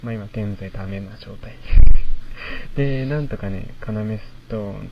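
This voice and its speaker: A man's fairly low voice at a moderate pace, with fairly even intonation and audible room echo. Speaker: university student radio host. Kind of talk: solo talk. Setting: outdoors in a park at night.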